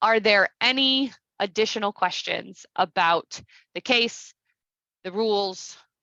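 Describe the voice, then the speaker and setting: A woman's bright, sharp voice at a medium pitch, with ordinary pitch variation, dry and close with no echo, over a quiet background. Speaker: civic education program presenter. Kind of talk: online presentation.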